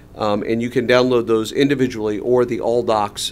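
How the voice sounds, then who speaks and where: A man at a very fast pace with noticeable background noise. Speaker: community planning facilitator presenting to school board. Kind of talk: public meeting presentation. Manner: halting with many fillers.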